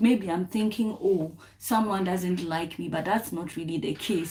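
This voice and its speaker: Noticeable background noise sits behind a woman speaking at a medium pitch and a moderate pace, with ordinary pitch variation. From Ghana. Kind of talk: talk to camera. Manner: halting.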